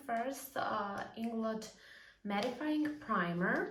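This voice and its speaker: A woman with a non-native accent speaks at a fairly high pitch and a very slow pace. Her intonation is lively, and room echo is audible. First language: not English. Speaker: beauty vlogger. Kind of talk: makeup tutorial. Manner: casual, with frequent fillers.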